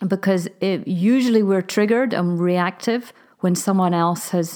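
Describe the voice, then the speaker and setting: In a very clean recording with a silent background, a woman with an unremarkable speaking voice talks at a moderate pace and a medium pitch with fairly even intonation. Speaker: parenting coach. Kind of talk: casual chat.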